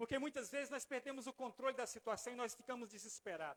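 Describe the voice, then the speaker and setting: A man is speaking. His pace is very fast. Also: dry, close sound with no echo. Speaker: pastor. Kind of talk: sermon. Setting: church.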